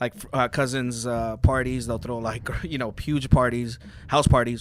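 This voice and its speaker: A man at a moderate pace with fairly even intonation, over noticeable background noise. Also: medium pitch for a man, big swings in loudness. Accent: American. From Los Angeles, Highland Park. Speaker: DJ. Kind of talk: casual chat.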